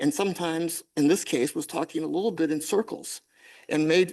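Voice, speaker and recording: Against a quiet background, a man talks at a fairly quick pace with a fairly high pitch. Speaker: attorney. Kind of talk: oral argument. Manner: fast.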